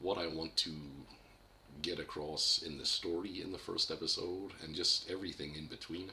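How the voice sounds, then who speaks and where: A man's very deep, low voice with vocal fry, a bright, sharp tone, fairly even intonation, a moderate pace and audible room echo. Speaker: independent animator. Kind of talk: livestream update talk. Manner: unscripted, hesitant with fillers; stuttering at times.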